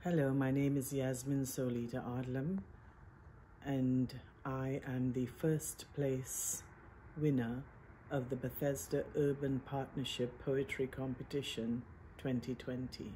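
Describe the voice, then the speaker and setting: A woman speaks at a very slow pace in a very deep, low pitch, her voice somewhat breathy with a dark, mellow tone. Her intonation is fairly even and her loudness very even. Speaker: poet. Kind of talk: poetry reading. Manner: measured, lyrical.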